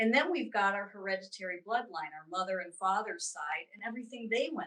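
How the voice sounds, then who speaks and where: A woman with an American accent talks fairly quickly at a medium pitch, her tone bright and sharp. Her intonation is lively, with big swings in loudness. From US East Coast. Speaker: spiritual teacher and intuitive reader. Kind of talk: interview.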